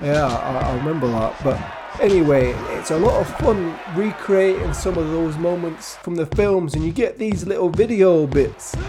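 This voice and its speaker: A man with a high pitch and lively intonation speaks at a moderate pace, with hardly any pauses. Music plays in the background, and room echo is audible. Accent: northern English. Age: 70s. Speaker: gaming youtuber. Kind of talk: casual chat. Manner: halting.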